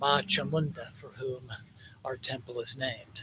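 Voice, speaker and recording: Noticeable background noise accompanies a man who talks at a fairly slow pace. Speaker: meditation teacher at a temple. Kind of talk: guided meditation.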